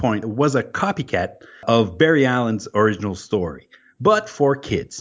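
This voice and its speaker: Speaking at a moderate pace, a man lets his pitch swing very widely. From New Brunswick, Canada. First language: French. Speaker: guest co-host. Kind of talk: casual chat about comics.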